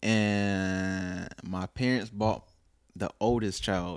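With an American accent, a man talks at a fairly low pitch using fairly even intonation. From North Carolina. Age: 20s. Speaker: drummer. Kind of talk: casual chat.

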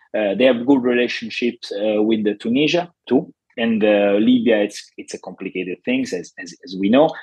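This man speaks with an Italian accent at a medium pitch and moderate pace. His loudness swings a lot, while his pitch varies in an ordinary way. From Italy. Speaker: journalist and foreign policy analyst. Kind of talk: interview. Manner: halting, with repetitions.

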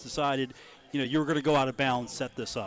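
A man with a normal speaking voice talks at a fairly high pitch, his intonation fairly even. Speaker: radio sports host. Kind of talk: casual sports talk radio. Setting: live radio broadcast from a pub.

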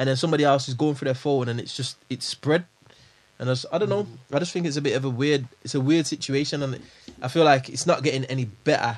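Talking very fast, a man keeps a fairly high pitch and fairly even intonation. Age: 20s. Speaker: podcast host. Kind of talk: casual chat.

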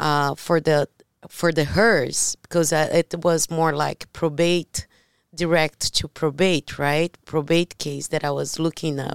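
A woman with a Brazilian accent speaks very slowly in a very deep, low voice and a monotone, flat intonation, with a dry, close sound with no echo on a very clean recording with a silent background. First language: Portuguese. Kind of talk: casual chat. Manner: halting.

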